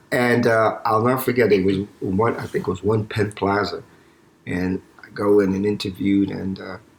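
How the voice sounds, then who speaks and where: With a New York accent, a man talks at a moderate pace in a fairly low pitch and with fairly even intonation. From New York City, East Harlem. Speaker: eye surgeon. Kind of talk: interview. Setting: home, not usual studio. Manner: mumbling; halting.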